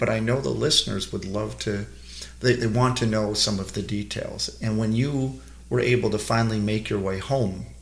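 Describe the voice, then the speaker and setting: A man with lively intonation and a somewhat breathy voice talks at moderate speed. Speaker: rabbi and museum education director. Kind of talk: interview explanation.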